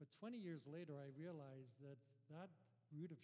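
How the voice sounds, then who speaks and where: Fairly high for a man, his voice has a dark, mellow tone and is somewhat breathy, with ordinary pitch variation. He speaks at a moderate pace, and room echo is audible. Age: 50s. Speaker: guest pastor. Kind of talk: sermon. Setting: church.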